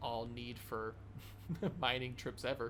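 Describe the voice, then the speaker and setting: A man with an American accent talks at a fairly slow pace. Audible room echo surrounds his voice. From United States. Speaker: gaming YouTuber. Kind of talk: casual gameplay commentary. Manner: casual, rambling with fillers.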